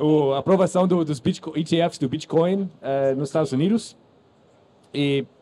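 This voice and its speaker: A man with a non-native accent, fairly high pitch, dark, mellow tone, ordinary pitch variation and a fairly slow pace. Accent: foreign accent in Portuguese. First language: English (speaking Portuguese). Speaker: podcast host and founder of a crypto news platform. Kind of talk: live panel moderation. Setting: stage with audience at a conference stand. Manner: halting, many fillers and restarts.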